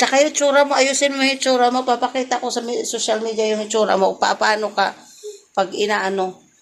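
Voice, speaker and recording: Loud and high-pitched, a woman talks at a fairly quick pace. Her pitch varies in an ordinary way. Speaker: vlogger and mother. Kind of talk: scolding her child in a home vlog. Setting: at home. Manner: loud, sounds angry.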